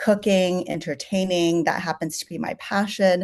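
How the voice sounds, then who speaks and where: A woman with a Californian accent speaks at a moderate pace in a monotone, flat way. The background is quiet. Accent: General American (California). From San Francisco Chinatown, US West Coast. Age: 40s. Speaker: chef. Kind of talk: interview. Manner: conversational, many fillers.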